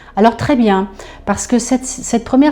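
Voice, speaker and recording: Through noticeable background noise, a woman talks with ordinary pitch variation. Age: 60s. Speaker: customer giving a testimonial. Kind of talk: testimony. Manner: hesitant, many fillers and repetitions.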